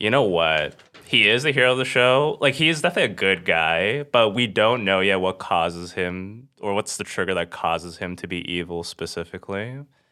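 This is an unremarkable speaking voice at a fairly quick pace. The intonation is lively. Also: man, fairly low pitch for a man. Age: 30s. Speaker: comedian and engineer. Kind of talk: casual chat.

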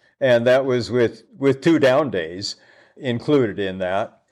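A man with an American accent talks at a very slow pace in a medium pitch. His intonation is lively, and the recording is very clean with a silent background. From Seattle. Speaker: guidebook author and thru-hiker. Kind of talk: interview. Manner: halting.

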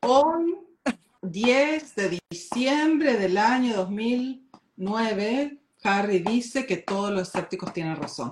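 A woman's fairly high voice with very wide pitch swings, at a very slow pace. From Argentina. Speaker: life coach and author. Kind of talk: interview, casual chat.

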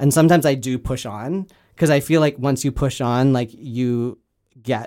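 On a very clean recording with a silent background, a man speaks at a moderate pace and medium pitch with ordinary pitch variation in an ordinary speaking voice. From Canada. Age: 30s. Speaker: filmmaker and comedian. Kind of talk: casual interview.

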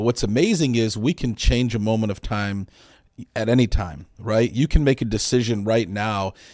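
A man with an unremarkable speaking voice, medium pitch, ordinary pitch variation and moderate pace, on a very clean recording with a silent background. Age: 40s. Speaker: real estate agent. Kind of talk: casual chat.

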